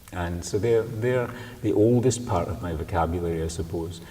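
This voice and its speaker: Against audible room echo and noticeable background noise, a man with a very deep, low pitch speaks at a fairly quick pace. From Scotland, Glasgow. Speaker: poet. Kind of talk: interview. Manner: halting.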